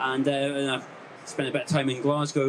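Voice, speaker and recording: In a Scottish accent, a man speaks at a fairly quick pace. His pitch sits fairly high. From Scotland, West Highlands. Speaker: landscape photographer. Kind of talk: talk to a live audience. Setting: stage with audience. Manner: hesitant, many fillers.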